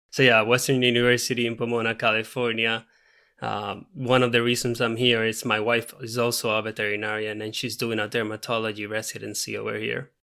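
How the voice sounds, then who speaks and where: A man with a Puerto Rican accent speaks at a medium pitch and a fairly quick pace, his tone bright and sharp. His intonation is flat and monotone, in a very clean recording with a silent background. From Puerto Rico. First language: Spanish. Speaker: veterinarian. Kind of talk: podcast interview.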